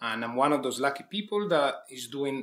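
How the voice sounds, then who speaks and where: A man with an Italian accent talks fairly quickly at a medium pitch, with ordinary pitch variation. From Italy, village near Milan. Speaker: executive chef. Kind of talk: interview.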